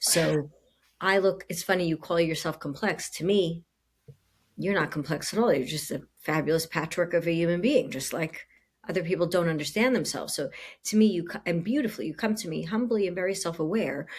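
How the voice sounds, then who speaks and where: A woman with a fairly low pitch talks at a fairly quick pace with ordinary pitch variation. The recording is very clean, with a silent background. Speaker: coach and podcast host. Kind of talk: casual chat. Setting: home living room. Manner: loud; animated.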